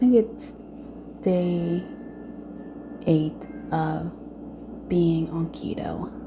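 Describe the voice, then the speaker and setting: A soft-spoken woman at a very slow pace, with long, frequent pauses, audible room echo and noticeable background noise. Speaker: YouTube vlogger. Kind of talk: casual mukbang vlog chat. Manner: soft-spoken, talking low.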